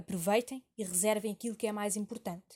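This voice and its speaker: The voice is somewhat breathy with ordinary pitch variation. The sound is dry and close, with no echo. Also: woman. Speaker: university student. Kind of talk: scripted narration. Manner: formal.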